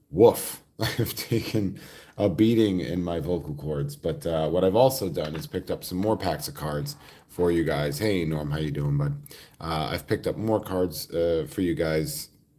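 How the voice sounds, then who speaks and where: A man's very deep, low voice with a dark, mellow tone, lively intonation and a moderate pace. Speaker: card pack-opening streamer and podcaster. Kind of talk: live stream pack opening. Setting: hotel room. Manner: halting.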